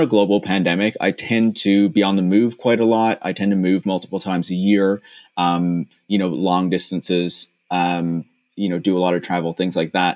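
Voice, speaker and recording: With a Newfoundland accent, a man speaks at a moderate pace in a fairly low pitch and fairly even intonation, the sound dry and close with no echo on a very clean recording with a silent background. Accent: Newfoundland Canadian English. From Newfoundland and Labrador, Canada. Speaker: tech critic podcast host. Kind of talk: casual chat.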